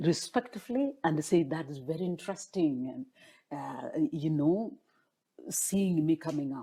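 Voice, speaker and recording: With a Kenyan accent, a woman speaks at a fairly slow pace in a fairly low, somewhat breathy voice with a dark, mellow tone and very wide pitch swings. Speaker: former political candidate. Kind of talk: interview. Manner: halting.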